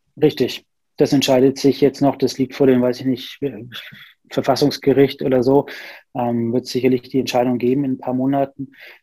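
With long, frequent pauses, a man speaks in a medium pitch, a dark, mellow tone, and a monotone, flat intonation. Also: moderate pace. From Bavaria, Nuremberg (Franconia). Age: 30s. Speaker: psychologist and private investor. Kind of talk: interview. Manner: hesitant, many fillers.

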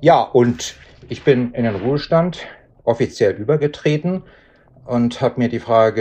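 With a dark, mellow tone and lively intonation, a man talks at a fairly slow pace in a medium pitch. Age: 60s. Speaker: retiree working as a coach. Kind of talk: interview. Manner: halting.

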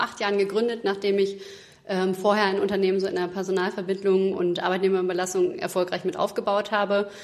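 Over noticeable background noise, a woman with a medium pitch talks at a very fast pace in a monotone, flat intonation. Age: 30s. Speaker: recruitment consultant. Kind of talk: interview. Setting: studio. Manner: hesitant, many fillers.

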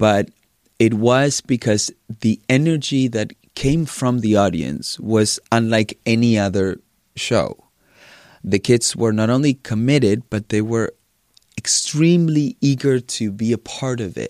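Speaking at a fairly slow pace, a man with a medium pitch and ordinary pitch variation is heard in a very clean recording with a silent background and a dry, close sound with no echo. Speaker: ballet choreographer. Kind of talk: casual interview.

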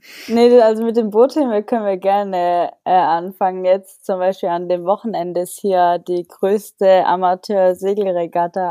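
A woman of medium pitch and a dark, mellow tone speaks with fairly even intonation at a moderate pace, hardly pausing, in a dry, close sound with no echo. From southern Germany, Allgäu. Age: 20s. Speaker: pro mountain bike racer. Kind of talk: casual interview.

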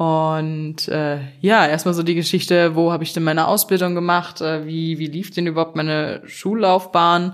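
A woman speaks at a moderate pace in a fairly low pitch, her intonation flat and monotone. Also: hardly any pauses. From western Germany (North Rhine-Westphalia). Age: 20s. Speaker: podcast co-host. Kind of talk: casual chat.

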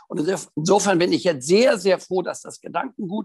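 A man talks at high pitch with lively intonation and a moderate pace. The sound is dry and close with no echo. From northern Germany, near Hannover. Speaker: riding instructor and dressage judge. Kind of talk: interview.

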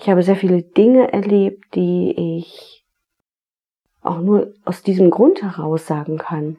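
A gentle tone at a very slow pace with ordinary pitch variation. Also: woman, medium pitch for a woman. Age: 40s. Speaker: podcast host, tax advisor and therapist. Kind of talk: reflective solo podcast monologue. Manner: gentle, inviting.

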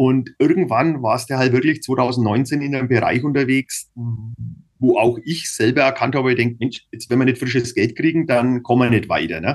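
Against a quiet background, a man with an ordinary speaking voice talks at a fairly slow pace. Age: 50s. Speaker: cycling team manager and businessman. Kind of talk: casual interview.

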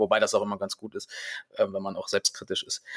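With a dry, close sound and no echo, a man delivers his words at a very fast pace. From Germany, Hanover. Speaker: voice actor. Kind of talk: interview.

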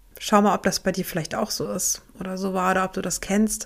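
Vocal fry runs through this woman's voice, heard on a very clean recording with a silent background. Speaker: podcast host and burnout prevention coach. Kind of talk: solo podcast monologue.

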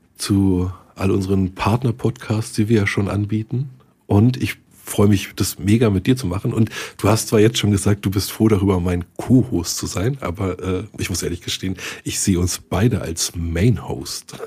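With a somewhat breathy, dark and mellow tone, a man talks at a moderate pace, his fairly low pitch showing ordinary variation. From Berlin, Germany. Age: 40s. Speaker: IT consultant, podcast host. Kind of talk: casual chat.

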